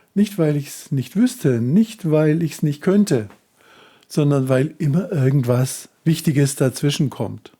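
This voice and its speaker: A man talks very slowly in a dark, mellow, somewhat breathy tone at a fairly high pitch. His intonation is lively. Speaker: self-help coach. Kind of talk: tutorial.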